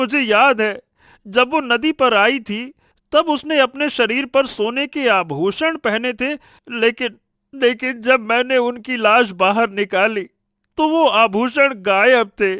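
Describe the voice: A put-on character voice with a bright, sharp tone speaks at a slow pace. The pitch varies in an ordinary way, and the sound is dry and close with no echo. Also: man, extremely high pitch for a man.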